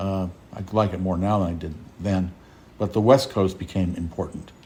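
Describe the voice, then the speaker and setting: A man with an American accent speaks at a moderate pace in a very deep, low pitch, his tone dark and mellow, somewhat breathy, with fairly even intonation. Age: 60s. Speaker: retired dentist and novelist. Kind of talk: interview.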